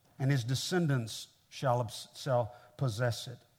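In a very clean recording with a silent background, a man with an American accent speaks in a somewhat breathy voice. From Kansas City, Missouri, US Midwest. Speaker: pastor, guest preacher. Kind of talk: sermon. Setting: church with audience.

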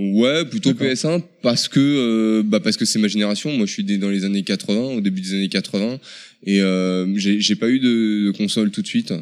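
In a very clean recording with a silent background, a man with an ordinary speaking voice talks at a moderate pace, his pitch fairly low with ordinary variation. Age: 30s. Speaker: video game shop employee. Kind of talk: interview.

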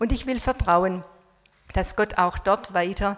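The woman's voice sits at a medium pitch. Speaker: retired missionary. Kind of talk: talk. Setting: stage with audience.

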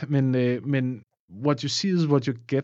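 At a fairly slow pace, a man with a medium pitch speaks with fairly even intonation. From Denmark, Funen (near Odense). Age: 30s. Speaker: musician and film composer. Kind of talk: casual interview. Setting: studio. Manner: halting, many repeated words.

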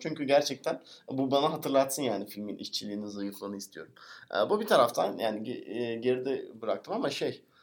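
A man talks fairly quickly. His voice sits fairly high. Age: 30s. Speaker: podcast co-host. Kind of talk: casual chat.

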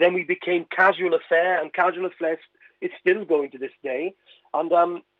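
Speaking at a moderate pace, a man with a Welsh accent has a high pitch. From West Wales (Carmarthen). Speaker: comedian and singer. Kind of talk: radio interview.

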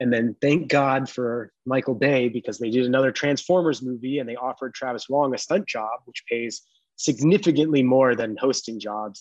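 An unremarkable speaking voice with ordinary pitch variation and hardly any pauses. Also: man, medium pitch for a man, moderate pace. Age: 30s. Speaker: parkour athlete. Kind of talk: casual chat.

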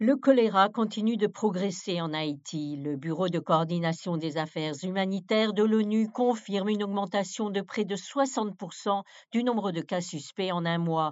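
This woman has an unremarkable speaking voice at a medium pitch, talking at a fairly slow pace with ordinary pitch variation and hardly any pauses. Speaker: news presenter. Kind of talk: formal newsreading, crisp scripted bulletin delivery. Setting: studio. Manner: formal; steady, measured, neutral broadcast pace.

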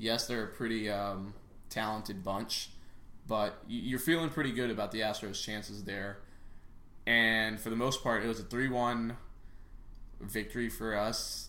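A man's bright, sharp voice at medium pitch, moderate pace and ordinary pitch variation, with audible room echo. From Chicago area, raised in Texas. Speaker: podcast host. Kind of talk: casual sports chat. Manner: animated.

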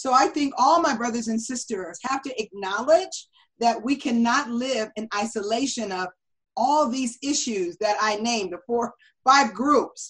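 Lively in intonation, a woman with an American accent speaks at a high pitch and a fairly slow pace. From US West Coast, Los Angeles. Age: 50s. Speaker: presidential candidate. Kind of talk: interview.

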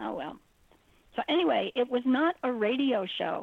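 This woman's intonation is lively. Her voice has vocal fry. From New York. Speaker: radio co-host. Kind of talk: casual chat.

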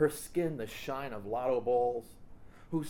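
The clip features a natural reading voice with ordinary pitch variation.

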